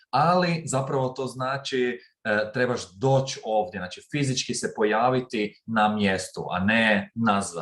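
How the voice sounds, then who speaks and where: An ordinary speaking voice moves at a fairly slow pace with hardly any pauses and ordinary pitch variation. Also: man, medium pitch for a man. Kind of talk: casual talk to camera.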